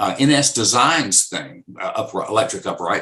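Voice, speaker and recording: A man speaks in an American accent at a medium pitch. His tone is bright and sharp, and his pace is fairly quick. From US Southeast (the Carolinas). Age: 60s. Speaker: session bassist. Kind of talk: interview. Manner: halting.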